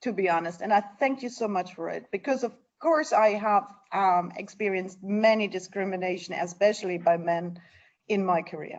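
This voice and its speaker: A woman with a German accent at a medium pitch. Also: ordinary pitch variation, moderate pace. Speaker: NGO leader. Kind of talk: interview.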